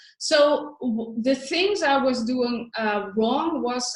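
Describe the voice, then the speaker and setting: Speaking at a very slow pace with a non-native accent, a woman uses a high pitch and ordinary pitch variation. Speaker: spiritual money coach. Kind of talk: online training webinar. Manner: halting, many fillers.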